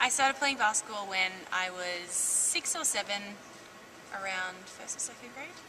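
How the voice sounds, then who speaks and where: With an Australian accent, a woman speaks at a moderate pace and medium pitch, her intonation lively and her loudness swinging widely. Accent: thick Australian. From Australia, Langwarrin near Melbourne. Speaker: college basketball player. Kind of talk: interview.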